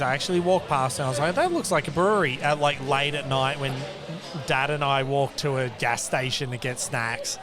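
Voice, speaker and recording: A man with an Australian accent speaks at a fairly quick pace, using ordinary pitch variation. Audible room echo and noticeable background noise fill the recording. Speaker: craft beer podcast co-host. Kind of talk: casual chat. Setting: venue with people around.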